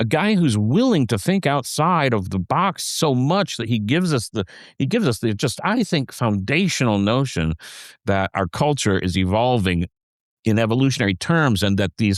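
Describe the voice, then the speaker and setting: Dry, close sound with no echo, a moderate pace, very even loudness, and a very clean recording over a silent background. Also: man. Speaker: podcast co-host and songwriter. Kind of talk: casual conversation. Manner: halting, many restarts and fillers.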